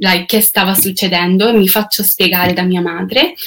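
Her pitch is medium and her intonation fairly even as this woman speaks. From Canada. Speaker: singer. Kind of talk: testimony. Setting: online video livestream. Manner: halting.

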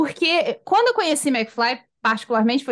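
A high-pitched woman's voice against a quiet background. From Rio de Janeiro, Brazil. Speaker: podcast host. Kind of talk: casual chat.

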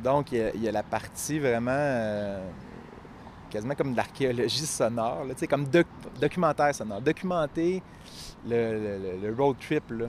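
A man with a Quebec accent, medium pitch, and ordinary pitch variation. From Quebec, Eastern Townships (Appalachian backcountry). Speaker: writer and teacher. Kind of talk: interview conversation. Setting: outdoors in a city park. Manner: hesitant, many fillers and repetitions.

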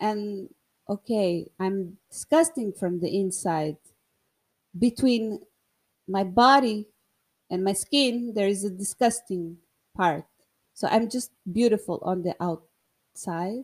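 A woman with a non-native accent speaks at a very slow pace, with long, frequent pauses, a medium pitch and ordinary pitch variation. The recording is very clean over a silent background, dry and close with no echo. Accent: non-native English speaker. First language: Portuguese. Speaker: podcast host. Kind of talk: casual monologue. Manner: halting, many fillers and repetitions.

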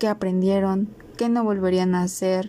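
With a Mexican accent, a woman speaks fairly slowly at a medium pitch, her tone dark and mellow and her intonation monotone and flat. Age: 20s. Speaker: podcast host, biology student. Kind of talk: solo podcast introduction.

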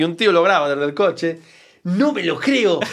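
There is a strong Galician accent in this man's speech. His voice is fairly high, and his pace is fairly quick. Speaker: comedian. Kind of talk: casual interview chat.

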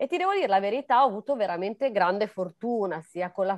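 A woman with a normal speaking voice and lively intonation, in a very clean recording with a silent background and a dry, close sound with no echo. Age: 30s. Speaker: dancer, model and life coach. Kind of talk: interview.

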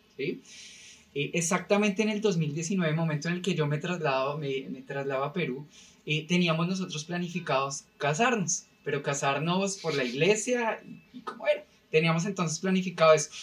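A man speaks at a high pitch with ordinary pitch variation. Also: moderate pace. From Colombia, Bogotá. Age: 30s. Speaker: podcast guest, company employee. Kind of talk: casual chat.

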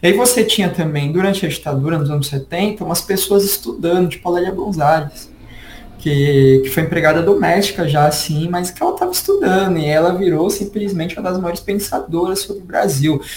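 Over noticeable background noise, a man talks at a fairly quick pace in a high voice with ordinary pitch variation. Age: 20s. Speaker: history teacher and researcher. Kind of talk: casual interview chat.

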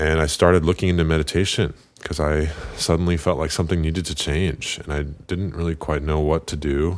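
Speaking at a fairly quick pace, a man uses a very deep, low pitch. His intonation stays monotone and flat. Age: 20s. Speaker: meditation practitioner and business owner. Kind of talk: interview testimony.

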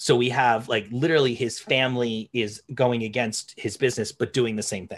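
A man's medium-pitched voice with a New Jersey accent, moderate pace and ordinary pitch variation, on a very clean recording with a silent background. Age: 30s. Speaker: podcast host, English teacher. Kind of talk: casual chat.

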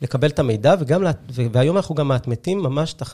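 A man speaks in a dark, mellow tone that is somewhat breathy, with lively intonation. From Israel, Haifa. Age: 30s. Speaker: tech startup co-founder. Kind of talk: interview. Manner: halting, many fillers.

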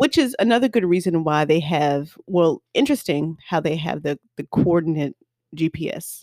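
Recorded very clean with a silent background and a dry, close sound with no echo, a woman with an American accent speaks at a moderate pace in a fairly low pitch, her dark, mellow tone carrying lively intonation. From US South. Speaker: podcast co-host. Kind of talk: casual chat.

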